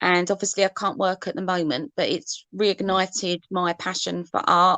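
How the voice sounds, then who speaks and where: A woman speaks at a medium pitch and a fairly slow pace. The sound is dry and close, with no echo. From Essex, England. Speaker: artist, face painter. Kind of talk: casual video chat interview. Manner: hesitant, many fillers.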